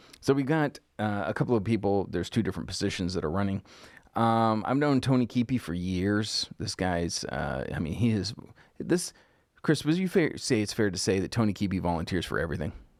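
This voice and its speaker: In a very clean recording with a silent background, a man with an unremarkable speaking voice and fairly low pitch talks at a fairly quick pace. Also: lively intonation. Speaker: political commentary host. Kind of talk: casual political talk show chat.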